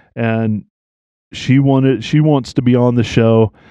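In a plain, everyday voice, a man speaks at a fairly slow pace and a medium pitch. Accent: American. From US South. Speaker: podcast host. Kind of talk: casual chat.

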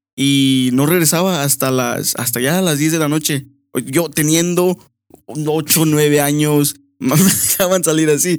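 A man talks in a plain, everyday voice at a fairly high pitch. His pace is fairly slow and his intonation fairly even. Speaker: host's brother, guest. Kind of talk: casual chat.

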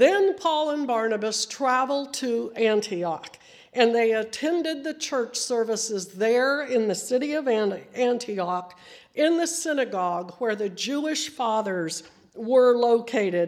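A woman speaks at a fairly slow pace with a fairly high, squeaky voice. Her intonation is lively. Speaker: preacher. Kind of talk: sermon. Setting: church.

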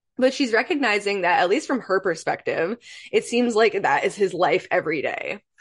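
In an American accent, a woman with an unremarkable speaking voice talks at a moderate pace with lively intonation against a quiet background. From Michigan, US Midwest. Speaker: podcast host, trauma-informed coach. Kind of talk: solo podcast monologue, song analysis.

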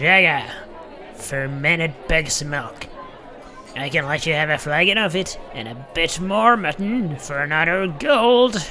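A man does a put-on character voice at a fairly high pitch, with lively intonation. He goes at a fairly slow pace over clear background noise. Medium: audio drama.

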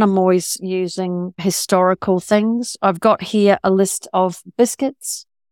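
At a fairly slow pace and with ordinary pitch variation, a woman speaks with a New Zealand accent in a very clean, dry, close recording with no echo and a silent background. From rural New Zealand. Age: 60s. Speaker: novelist. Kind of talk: interview.

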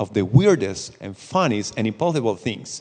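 Lively intonation marks a man speaking with a Spanish accent. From Costa Rica. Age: 30s. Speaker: missionary. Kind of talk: church talk. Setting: church with audience.

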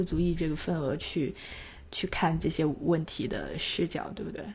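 At a moderate pace, the speaker uses an unremarkable speaking voice. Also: woman. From China. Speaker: magazine editor and podcast host. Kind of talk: casual conversation.

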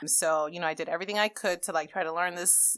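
On a very clean recording with a silent background, a woman with a Spanish accent talks at a fairly low pitch with fairly even intonation. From Dominican Republic, then New York. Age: 30s. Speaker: life coach. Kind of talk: interview.

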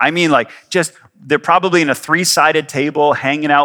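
A man speaks with a Canadian accent at a fairly quick pace. His fairly high voice has a bright, sharp tone. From Canada. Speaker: pastor. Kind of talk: sermon. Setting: church. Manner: casual.

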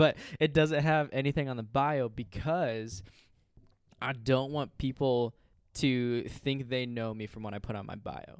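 The recording is very clean, and the background is silent. An unremarkable speaking voice moves at a moderate speed, its pitch shifting in an ordinary way. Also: man. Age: 20s. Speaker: youth ministry intern. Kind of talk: casual chat. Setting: home studio.

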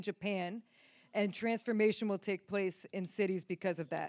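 A woman with an American accent speaks fairly quickly in a normal speaking voice with fairly even intonation, in a very clean recording with a silent background and a dry, close sound with no echo. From upstate New York. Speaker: ministry team member. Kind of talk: prophetic words. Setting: church stage with audience.

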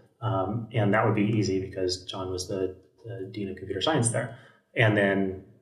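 In a room with audible echo, a man speaks at a fairly low pitch and a moderate pace with fairly even intonation. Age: 30s. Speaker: software engineer. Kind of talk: casual chat.

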